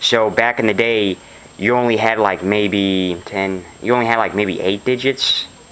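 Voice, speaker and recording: A man talks with a fairly low pitch, very even loudness and fairly even intonation. Noticeable background noise runs underneath. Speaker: hobbyist video maker. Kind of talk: casual show-and-tell video. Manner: fast; halting, with many fillers.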